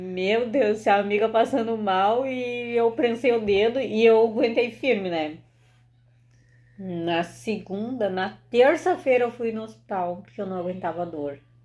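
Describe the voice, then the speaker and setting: A woman talks at a fairly slow pace in a gaúcho accent. Her fairly high pitch moves with lively intonation. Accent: gaúcho, uses 'bah'. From southern Brazil (Rio Grande do Sul). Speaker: video host. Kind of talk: casual chat. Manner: animated.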